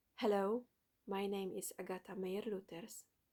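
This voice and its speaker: The speaker talks at a fairly slow pace. There is a Polish accent. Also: woman. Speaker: doula and motherhood content creator. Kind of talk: reading aloud a written manifesto. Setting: at home at night. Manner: soft-spoken, children sleeping nearby; halting.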